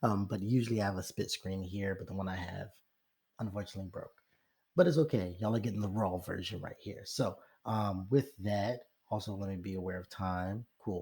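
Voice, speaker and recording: A man speaks fairly quickly in a fairly low, somewhat breathy voice. His intonation stays fairly even while his loudness swings widely. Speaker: rapper. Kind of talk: tutorial. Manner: hesitant, many fillers.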